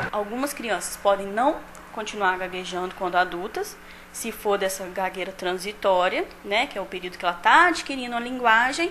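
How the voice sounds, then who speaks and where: Light background noise sits behind a woman speaking at medium pitch. Her pace is moderate and her pitch variation ordinary. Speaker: speech-language therapist, expert interviewee. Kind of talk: expert interview answer on the street-report segment. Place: office. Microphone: handheld.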